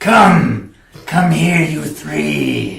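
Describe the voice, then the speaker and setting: A man does a raspy put-on character voice with a slight echo. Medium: actual play. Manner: cryptic, ominous.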